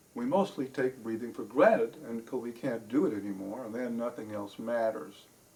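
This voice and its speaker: At a moderate pace, a man talks in a plain, everyday voice at a medium pitch, with ordinary pitch variation. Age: 60s. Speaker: holistic health and life coach. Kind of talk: educational health talk.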